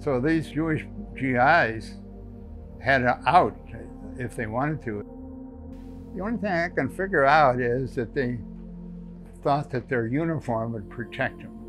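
Clear music plays behind a man who talks at a fairly slow pace with long, frequent pauses. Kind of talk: interview answer. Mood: calm, reflective. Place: home room. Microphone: lapel.

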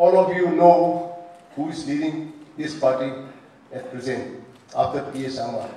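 There is audible room echo as a man talks fairly slowly at a high pitch with ordinary pitch variation. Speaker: politician addressing a rally. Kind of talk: political speech. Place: hall.

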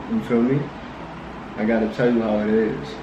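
Intonation stays fairly even as a man talks at a moderate pace. Noticeable background noise is present. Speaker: prank video creator. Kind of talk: casual phone call chat. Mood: playful, teasing. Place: home room.

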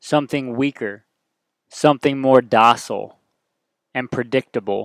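A man with a medium pitch talks at a moderate pace. The recording is very clean with a silent background. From US South. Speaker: podcast host, military veteran. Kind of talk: motivational monologue. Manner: animated.

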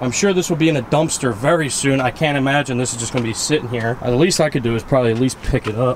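A man races along at a very fast pace, his pitch varying in an ordinary way, while light noise sits in the background. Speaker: urban explorer vlogger. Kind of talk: casual vlog chat. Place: street. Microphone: phone near.

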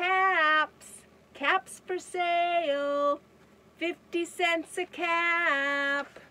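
Using a put-on character voice, a woman speaks very slowly at an extremely high pitch with monotone, flat intonation. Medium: read story. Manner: calling out, then scolding and increasingly angry.

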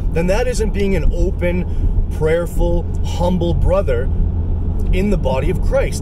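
A man is recorded with a dry sound and no echo. Loud noise fills the background. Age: 30s. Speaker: religious video blogger. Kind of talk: casual religious monologue. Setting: outdoors. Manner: halting, many fillers. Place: car. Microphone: phone near.

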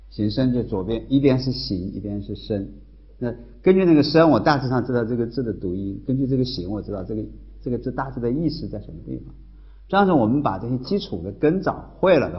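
The man's speech moves fairly quickly. His voice sits at a medium pitch. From Hubei, China. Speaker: university professor. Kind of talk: university lecture. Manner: casual, conversational. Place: classroom.

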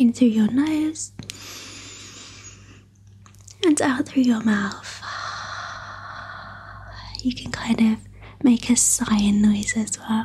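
Soft-spoken and at a very slow pace, a woman talks with long, frequent pauses and ordinary pitch variation over light background noise. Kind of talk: guided meditation session. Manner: soft, hushed ASMR guiding voice. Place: home room.

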